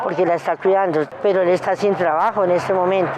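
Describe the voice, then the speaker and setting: A woman's medium-pitched speech is heard with noticeable background noise. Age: 60s. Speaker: street vendor. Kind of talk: interview testimony. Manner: halting.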